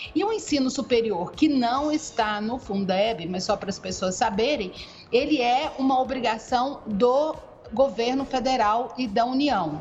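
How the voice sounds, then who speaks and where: A woman's high-pitched voice at a fairly slow pace, with audible room echo and music in the background. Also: lively intonation. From Goiânia, Brazil. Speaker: education researcher and NGO advocate. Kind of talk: podcast interview, explanatory.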